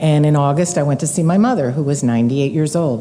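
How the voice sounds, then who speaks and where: Noticeable background noise surrounds a woman's voice. Her pitch is very deep and low, with ordinary variation. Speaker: missionary. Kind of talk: ministry report to a church. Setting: church with audience.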